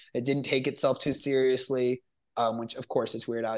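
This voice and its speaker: Against a quiet background, a man talks in an animated, excited tone. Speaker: film review podcast host. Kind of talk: casual review chat.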